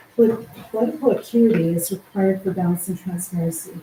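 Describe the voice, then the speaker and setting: A woman talks very fast at a medium pitch with ordinary pitch variation. Noticeable background noise is present. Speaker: resident delegation speaker. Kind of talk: prepared public statement. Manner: formal.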